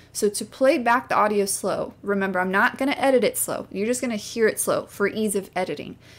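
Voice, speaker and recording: A woman speaks at a fairly high pitch with ordinary pitch variation. Her pace is fairly quick. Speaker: YouTuber teaching video editing. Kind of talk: tutorial. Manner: fast; casual.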